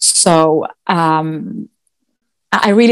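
With a Swedish accent, a woman speaks using fairly even intonation. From Sweden. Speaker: dog agility competitor and trainer. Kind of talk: interview. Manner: hesitant, with many fillers.

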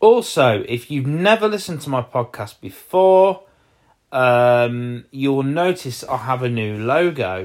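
Speaking at a fairly slow pace with an East Midlands accent, a man lets his pitch swing very widely. The recording is very clean, with a silent background. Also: medium pitch for a man. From Leicestershire, England. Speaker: podcaster. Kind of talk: solo podcast update. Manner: hesitant, with frequent fillers.

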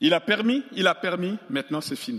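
A high-pitched man's voice, fairly quick, with very wide pitch swings. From Central African Republic. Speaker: pastor. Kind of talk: sermon. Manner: animated.

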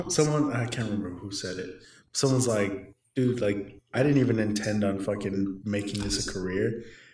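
A man with an American accent and fairly low pitch at a moderate pace, ordinary pitch variation, and audible room echo. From Southern California (El Monte). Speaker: podcast co-host. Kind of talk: casual chat.

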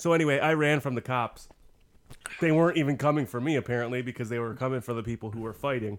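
This man speaks at a very fast pace, his medium pitch moving with ordinary variation. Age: 30s. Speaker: podcast host, homebrewer. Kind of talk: casual chat.

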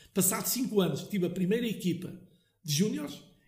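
Audible room echo surrounds a man speaking with a high pitch and ordinary pitch variation. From Portugal, Lousã (central interior). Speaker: family business owner, liqueur maker. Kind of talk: interview, storytelling. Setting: his factory premises.

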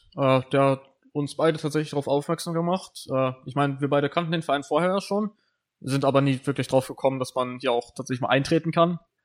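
Fairly quick and with fairly even intonation, a man speaks at a fairly high pitch in a very clean recording with a silent background. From northern Germany, Lower Saxony (Brake). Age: 19. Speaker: podcast co-host, gamer. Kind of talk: casual chat. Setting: club room. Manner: hesitant, many fillers.

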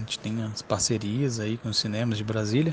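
A man at a moderate pace, somewhat breathy. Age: 30s. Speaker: cosplay agency founder. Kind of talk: casual interview.

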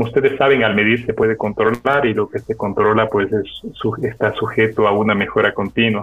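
A man's flat, monotone delivery comes at a fairly quick pace against noticeable background noise. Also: medium pitch for a man. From coastal Ecuador. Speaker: technology company director. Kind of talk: interview.

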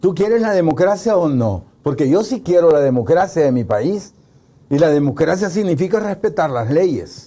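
With lively intonation, a man talks at a moderate pace in a high voice with a dark, mellow tone. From El Salvador, Santa Ana. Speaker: political analyst. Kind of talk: political interview discussion. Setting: studio.

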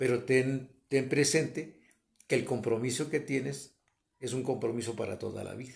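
A man speaks at a moderate pace with a medium pitch and a somewhat breathy quality. His loudness swings widely. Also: fairly even intonation. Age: 60s. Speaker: host's father. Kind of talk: interview.

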